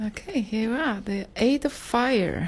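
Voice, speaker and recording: Lively intonation marks this woman's speech in a Polish accent. She talks very slowly at a fairly high pitch. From Poland. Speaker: yoga teacher and healer. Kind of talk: casual chat. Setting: studio.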